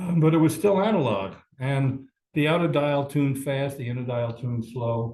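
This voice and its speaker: A man talks with an American accent. His voice is somewhat breathy, with ordinary pitch variation. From New York City. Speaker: amateur radio operator and physicist. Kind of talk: club presentation talk.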